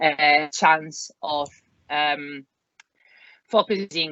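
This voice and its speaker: In an Italian accent, a woman speaks with a very deep, low pitch. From Italy. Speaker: career changer entering learning and development. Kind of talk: podcast interview. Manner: hesitant, many fillers.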